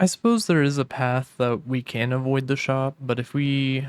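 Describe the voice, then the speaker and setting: Speaking at a fairly slow pace and medium pitch, a man has a plain, everyday voice, recorded dry and close with no echo. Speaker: gaming YouTuber. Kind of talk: gameplay commentary. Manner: casual, relaxed.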